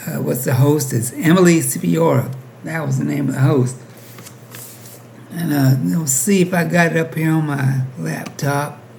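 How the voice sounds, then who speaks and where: The speech moves at a moderate pace with lively intonation, set against audible room echo and noticeable background noise. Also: man, fairly high pitch for a man. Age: 60s. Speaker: YouTube commentator. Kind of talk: casual commentary monologue.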